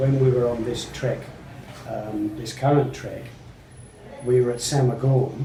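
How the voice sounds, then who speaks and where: A man with an Australian accent is heard over noticeable background noise, with audible room echo. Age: 70s. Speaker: trekker. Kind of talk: interview.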